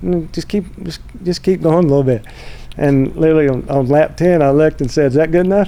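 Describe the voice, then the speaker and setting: The speech comes at a very fast pace in a Southern accent, with ordinary pitch variation. Noticeable background noise is present. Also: man, fairly high pitch for a man. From US South, North Carolina. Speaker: motorsports executive. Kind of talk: casual chat.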